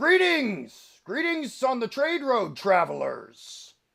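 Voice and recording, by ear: A man puts on a gruff character voice with an extremely high pitch. He speaks at a very slow pace.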